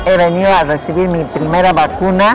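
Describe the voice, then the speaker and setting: Moderately paced female speech over noticeable background noise. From Peru. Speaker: vaccinated senior citizen. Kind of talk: interview answer. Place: hall.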